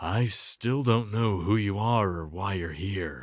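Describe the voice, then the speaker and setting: A man puts on a character voice that is raspy, gruff and fairly low in pitch. He speaks at a fairly slow pace on a very clean recording with a silent background. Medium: read story. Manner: gruff, impatient.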